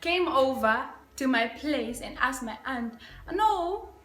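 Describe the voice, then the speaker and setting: With lively intonation and an animated tone, a woman speaks at a high pitch amid audible room echo. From Africa. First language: African local language. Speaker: YouTuber. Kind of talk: casual vlog tag video.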